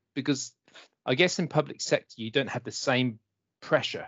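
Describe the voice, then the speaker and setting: This man has an English accent. His pitch moves in an ordinary way. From England. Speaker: IT consultant. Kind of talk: casual interview chat. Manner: friendly, upbeat.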